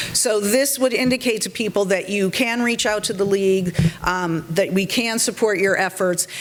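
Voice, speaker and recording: Over noticeable background noise, a woman talks at a moderate pace with medium pitch and ordinary pitch variation. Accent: American. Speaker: civic organization board member. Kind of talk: meeting presentation.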